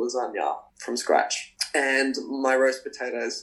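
The speaker is a man with an Australian accent. He talks fairly slowly. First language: Spanish. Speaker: professional dancer. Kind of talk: casual interview.

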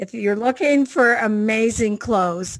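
A woman with a Canadian accent talks at a fairly slow pace in a normal speaking voice, her pitch varying in an ordinary way. The recording is very clean, with a silent background. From Canada. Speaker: dance music artist. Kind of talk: casual chat.

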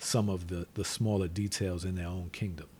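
Fairly low in pitch, this man's voice is dark, mellow and somewhat breathy. His intonation stays fairly even. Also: very clean recording, silent background. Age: 40s. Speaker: podcast host, father of co-host. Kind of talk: casual chat.

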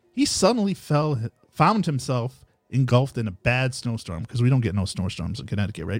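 This man's voice sits at a medium pitch and is somewhat breathy. His pitch swings very widely. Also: fairly quick pace. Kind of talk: casual chat.

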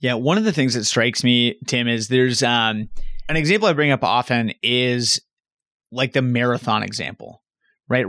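A plain, everyday voice: a man at medium pitch with an American accent, fairly quick pace, dry, close sound with no echo, and a very clean recording with a silent background. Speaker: podcast co-host interviewer. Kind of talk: casual interview.

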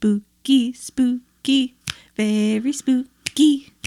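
A female-sounding voice uses a put-on character voice pitched high. The delivery is very slow. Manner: spooky, drawn out.

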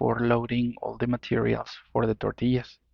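With a Spanish accent, someone talks at a medium speed. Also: man. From Mexico. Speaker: listener telling own ghost story. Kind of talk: personal storytelling. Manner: halting.

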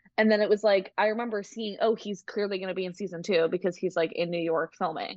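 A woman talks at a very fast pace in an American accent. Her pitch variation is ordinary. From Massachusetts, US. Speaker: podcaster. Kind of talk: casual chat.

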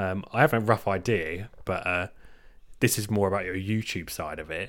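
With an English accent, a man speaks at a very deep, low pitch on a very clean recording with a silent background. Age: 20s. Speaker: podcast co-host. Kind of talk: casual chat.

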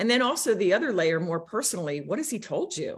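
On a very clean recording with a silent background, a woman with a somewhat breathy voice speaks at a fairly quick pace in a medium pitch, making very wide pitch swings. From US small town. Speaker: business coach. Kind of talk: interview.

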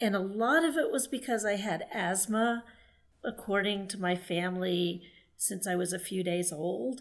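Using an ordinary speaking voice, a woman with an American accent speaks at a moderate pace and medium pitch with ordinary pitch variation. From Texas. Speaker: writer and former journalist. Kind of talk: podcast interview. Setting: remote call.

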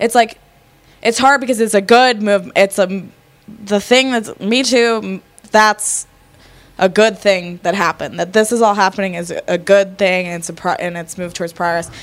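With an American accent, a woman in an ordinary speaking voice talks at a moderate pace with a medium pitch and ordinary pitch variation. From Connecticut, Fairfield County. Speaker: podcast guest. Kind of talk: casual chat over drinks.

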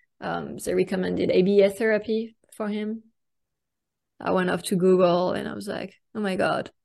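A woman with a French accent speaks at a moderate pace against a quiet background. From France. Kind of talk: interview.

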